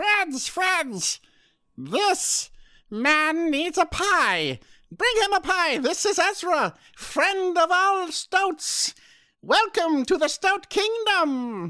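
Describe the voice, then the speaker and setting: A put-on character voice, extremely high in pitch, delivered at a very slow pace. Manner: bold, proclaiming.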